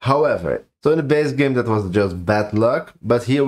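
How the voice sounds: A natural reading voice against a quiet background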